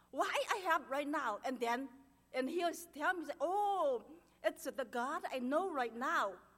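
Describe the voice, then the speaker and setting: A woman with a strong Chinese accent speaks in a high pitch at a fairly slow pace, with long, frequent pauses. Her tone is nervous and excited, and her intonation is lively. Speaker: churchgoer giving testimony. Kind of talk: testimony. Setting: church. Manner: nervous, excited.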